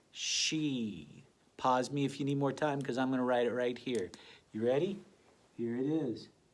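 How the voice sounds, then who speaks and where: Heard with audible room echo, a man speaks in an animated tone at medium pitch with ordinary pitch variation. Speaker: elementary school teacher. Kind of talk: tutorial.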